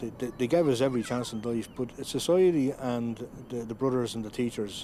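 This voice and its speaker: A man with a Dublin accent talks at a fairly quick pace. Noticeable background noise is present. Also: medium pitch for a man, ordinary pitch variation. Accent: Dublin Irish. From Ireland, Dún Laoghaire, County Dublin. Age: 50s. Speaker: adult literacy learner. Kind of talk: documentary interview. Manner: halting, repeats words.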